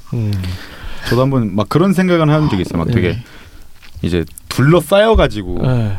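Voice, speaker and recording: Over noticeable background noise, a man with a medium pitch talks at a moderate pace, making very wide pitch swings and long, frequent pauses. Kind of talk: casual chat.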